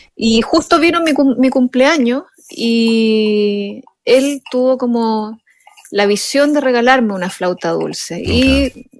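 A woman speaks in a high pitch with a Chilean accent. She goes very slowly, with ordinary pitch variation. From Chile, Chiloé island. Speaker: jazz pianist and composer. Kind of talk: interview.

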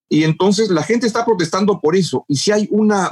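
Lively in intonation, a man talks at a fairly quick pace, the sound dry and close with no echo. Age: 60s. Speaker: journalist and political analyst. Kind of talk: interview.

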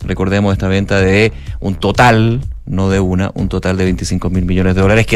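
A man speaks against noticeable background noise. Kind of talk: news reading.

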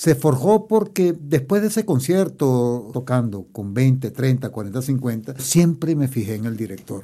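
This dark, mellow voice moves at a very slow pace with hardly any pauses and very wide swings in pitch. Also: man, medium pitch for a man. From Venezuela, Barquisimeto (Lara). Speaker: orchestra conductor. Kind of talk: interview. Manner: formal.

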